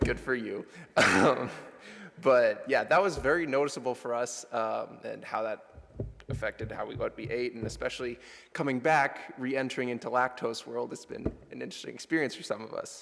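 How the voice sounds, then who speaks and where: Fairly brisk speech from a man, its loudness rising and falling sharply. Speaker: college student sharing trip reflection. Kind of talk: chapel presentation. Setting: church chapel with audience. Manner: casual, loosely improvised.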